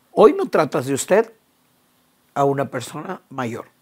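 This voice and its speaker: A woman takes a fairly slow pace on a very clean recording, with a silent background. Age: 60s. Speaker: conference speaker on the Bible. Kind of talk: interview conversation.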